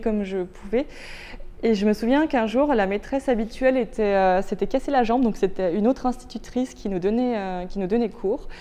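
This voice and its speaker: A woman's medium-pitched voice of dark, mellow tone. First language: Turkish (speaking French). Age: 30s. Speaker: visually impaired law student and inclusion consultant. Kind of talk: interview testimony. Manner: hesitant, many fillers.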